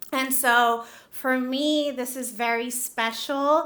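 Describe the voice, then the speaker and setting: With a Spanish accent, a woman speaks at a high pitch in a bright, sharp tone. Her intonation stays monotone and flat. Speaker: nonprofit CEO, award winner. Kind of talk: acceptance speech. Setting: stage with audience.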